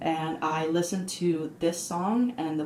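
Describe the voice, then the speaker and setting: A woman's fairly low voice can be heard through noticeable background noise. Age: 20s. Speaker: artist. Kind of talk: podcast interview, personal testimony.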